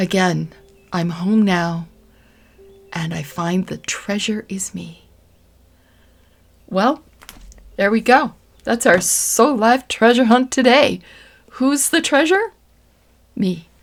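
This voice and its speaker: A woman whispers in a gentle, soothing tone at a very slow pace. Long, frequent pauses and big swings in loudness mark her delivery. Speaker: spiritual tarot reader. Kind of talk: tarot reading with guided reflection. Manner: whispering.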